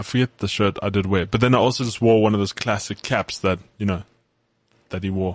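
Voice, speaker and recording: Against a quiet background, a man speaks in an ordinary speaking voice. His pitch sits fairly low, and his intonation stays fairly even. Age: 20s. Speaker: sports podcast co-host. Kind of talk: casual chat.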